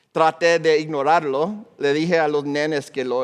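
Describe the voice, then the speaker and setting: He is a man with an American accent. His pitch sits fairly high. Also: quiet background. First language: English (speaking Spanish). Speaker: pastor. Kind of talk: sermon.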